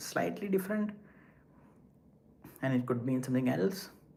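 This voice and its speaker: A man speaks with a non-native accent at a fairly high pitch. His intonation is lively. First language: not English. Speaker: live streamer. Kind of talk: casual chat. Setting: walking while livestreaming.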